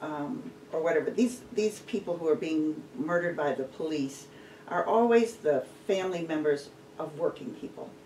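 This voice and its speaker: The speaker goes at a moderate pace, with noticeable background noise behind the voice. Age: 60s. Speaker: radio host. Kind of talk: interview. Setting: studio.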